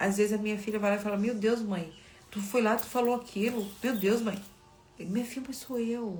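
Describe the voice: With music in the background, a woman speaks at a moderate pace in a fairly high voice with fairly even intonation.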